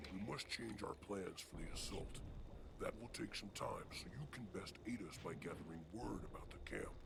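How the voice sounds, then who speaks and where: Over loud background noise, a man whispers in a put-on character voice. He keeps a moderate pace. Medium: video game. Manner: formal, grave.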